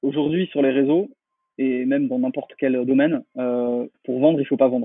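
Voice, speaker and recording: At a moderate pace, a man with a fairly high pitch speaks in a normal speaking voice. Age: 30s. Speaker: marketing consultant. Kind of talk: interview.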